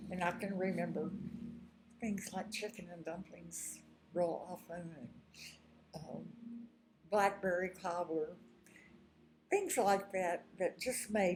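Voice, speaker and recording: A woman talks very slowly at a medium pitch, with vocal fry and fairly even intonation. Her loudness swings widely, and she leaves long, frequent pauses. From Texas (Houston). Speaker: retired teacher and artist telling her life story. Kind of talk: personal life-story monologue. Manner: halting with fillers.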